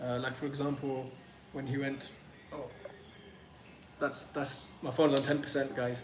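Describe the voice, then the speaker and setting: A man with a fairly high pitch speaks at a moderate pace in a monotone, flat delivery broken by long, frequent pauses. Audible room echo and noticeable background noise surround him. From UK, born in Afghanistan, moved at five. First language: Pashto. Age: 20s. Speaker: streamer. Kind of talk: live stream Q&A. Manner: hesitant, many fillers.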